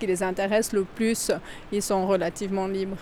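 This woman has an unremarkable speaking voice. She talks at a moderate pace with fairly even intonation. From Valais, Switzerland. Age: 40s. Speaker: mine tour guide and train driver. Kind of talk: guided tour interview. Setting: underground salt mine and mine train.

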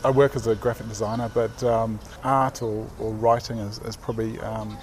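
A man speaks with a New Zealand accent at a medium pitch. His intonation is fairly even and his pace moderate, over noticeable background noise. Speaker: graphic designer and artist. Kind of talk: casual interview. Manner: halting.

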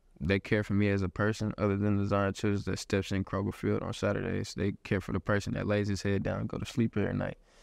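A man with a Texas accent talks at a very fast pace with hardly any pauses. His pitch is fairly low, his intonation fairly even, and the background quiet. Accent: Southern US (Texas). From Houston, Texas. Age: 20s. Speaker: college football player. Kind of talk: interview. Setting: football facility.

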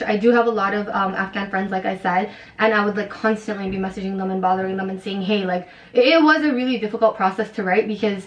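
A woman talking at a very fast pace, medium pitch, fairly even intonation, with noticeable background noise. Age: 20s. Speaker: author. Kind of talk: casual chat.

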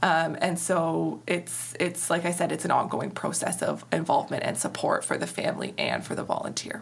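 At a moderate pace, a woman talks with an Ontario accent over noticeable background noise. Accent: Canadian (Ontario). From Ontario, Canada (Walkerton, Grey-Bruce). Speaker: charity executive director. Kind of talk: interview.

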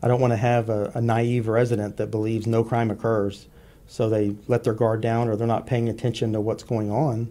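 In a Texan accent, a man speaks fairly quickly in a medium-pitched, dark, mellow voice, with monotone, flat intonation and very even loudness. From US South. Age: 50s. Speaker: law enforcement officer. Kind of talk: radio interview. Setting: studio.

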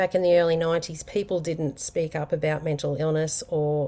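In a very clean recording with a silent background, the voice carries a dark, mellow tone, a moderate pace and fairly even intonation. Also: woman. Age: 40s. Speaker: podcast host. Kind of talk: personal monologue. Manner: casual, unscripted with fillers.

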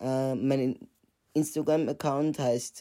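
Speaking very slowly, the man has a dark, mellow tone and fairly even intonation. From Austria, Vienna. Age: 20s. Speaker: podcast host, psychology student. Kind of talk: podcast trailer monologue.

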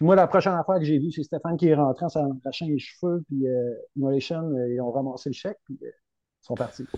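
A man's fairly high voice with a dark, mellow tone and ordinary pitch variation, dry and close with no echo, over a quiet background. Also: fairly quick pace. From Rimouski, Quebec. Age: 40s. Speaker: metal band vocalist. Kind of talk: casual chat.

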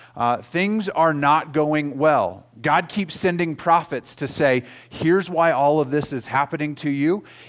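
Using a normal speaking voice, a man with an American accent talks at a fairly slow pace with hardly any pauses, his fairly high pitch showing ordinary variation. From Oklahoma. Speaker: pastor. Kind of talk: sermon.

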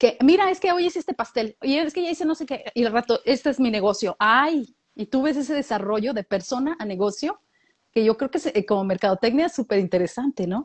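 In a Latin American accent, a woman speaks fairly quickly at a high pitch with very wide pitch swings. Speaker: podcast co-host. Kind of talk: casual chat.

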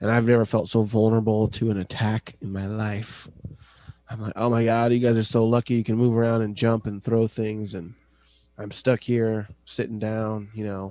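Against a quiet background, a man with an American accent speaks at a moderate pace, his medium-pitched voice dark and mellow in tone and his intonation monotone and flat. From US West (California, Idaho). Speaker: podcast co-host. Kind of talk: casual chat.

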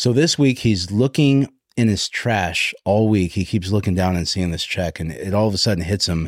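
Recorded very cleanly over a silent background, a man uses an ordinary speaking voice at a fairly low pitch, with ordinary pitch variation and a moderate pace. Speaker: podcast host, real estate coach. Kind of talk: casual interview.

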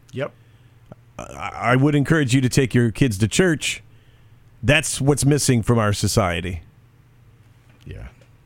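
Speaking at a fairly slow pace with long, frequent pauses, a man uses lively intonation at a medium pitch, with vocal fry. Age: 50s. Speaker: radio and podcast host. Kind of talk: casual chat.

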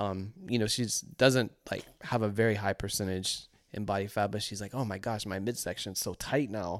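On a very clean recording with a silent background, a man with an American accent speaks at a moderate pace and a fairly low pitch. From US South. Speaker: podcast co-host, fitness. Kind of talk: casual chat.

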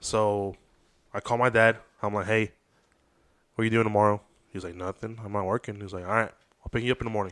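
With a Spanish accent, a man talks very fast at a fairly low pitch in a flat monotone, his loudness swinging widely, with long, frequent pauses and a dry, close sound with no echo. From San Diego, California. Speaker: photographer. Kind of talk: casual chat.

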